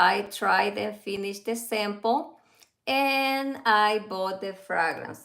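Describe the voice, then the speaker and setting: The voice has a bright, sharp tone and a Central American Spanish accent. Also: woman. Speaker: fragrance reviewer. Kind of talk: casual livestream review. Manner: halting.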